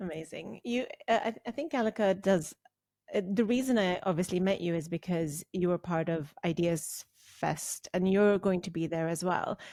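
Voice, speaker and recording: Heard in a very clean recording with a silent background and a dry, close sound with no echo, a woman with a non-native accent speaks in a dark, mellow tone with ordinary pitch variation. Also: medium pitch for a woman, moderate pace. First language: not English. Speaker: podcast host. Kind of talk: podcast interview.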